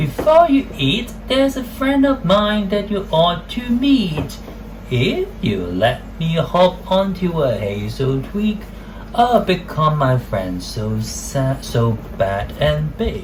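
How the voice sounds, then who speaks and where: A put-on character voice moves at a very slow pace. Clear background noise runs underneath. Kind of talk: children's story character voices.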